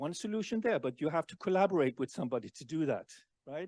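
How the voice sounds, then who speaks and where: A man's very fast delivery with lively intonation, dry and close with no echo, against a quiet background. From Denmark. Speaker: keynote speaker. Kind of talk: conference keynote talk. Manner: halting, repeats words.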